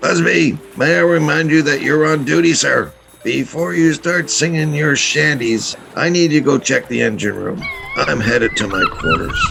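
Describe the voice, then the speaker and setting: Over clear background music, a man uses a raspy put-on character voice, fairly high in pitch, at a moderate pace. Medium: audio drama. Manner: authoritative.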